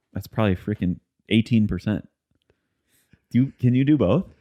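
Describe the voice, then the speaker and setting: With a Midwestern accent, a man talks fairly quickly at a medium pitch with ordinary pitch variation. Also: long, frequent pauses. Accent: Midwest. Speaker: podcast host. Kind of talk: casual chat.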